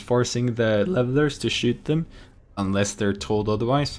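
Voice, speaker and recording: At a moderate pace, a man with a Norwegian accent talks at a medium pitch with ordinary pitch variation. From Norway. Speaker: esports commentator. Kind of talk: live commentary. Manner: energetic.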